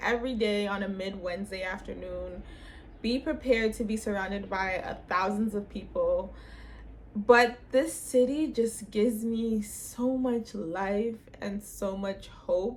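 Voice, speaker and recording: A woman's animated, somewhat breathy voice with a Toronto accent and ordinary pitch variation. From Canada, Toronto. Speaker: lifestyle vlogger. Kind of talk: casual vlog talk.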